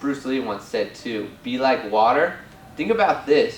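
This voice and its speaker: With an animated tone, a man speaks over noticeable background noise and audible room echo. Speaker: spiritual guide. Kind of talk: casual video talk.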